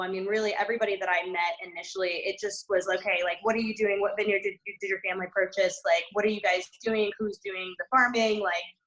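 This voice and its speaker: A woman with an American accent has an ordinary speaking voice at a medium pitch. She talks fairly quickly with fairly even intonation. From US Northeast, New Jersey. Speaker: winery owner and winemaker. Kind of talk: panel discussion. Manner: casual, many fillers.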